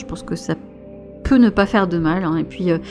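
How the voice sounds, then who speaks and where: Music plays in the background as a soft-spoken voice talks in a gentle tone. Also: woman. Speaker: tarot and oracle card reader, spiritual guide. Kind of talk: casual talk to camera. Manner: soft-spoken, gentle.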